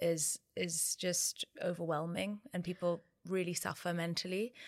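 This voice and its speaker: A woman with a British accent speaks at a fairly low pitch in a monotone, flat intonation. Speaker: co-founder of a divorce support platform. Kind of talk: interview. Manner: halting, many fillers.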